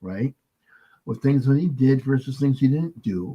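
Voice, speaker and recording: This is a man speaking at medium pitch. His pitch varies in an ordinary way. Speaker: podcast host, filmmaker. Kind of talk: casual chat. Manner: fast.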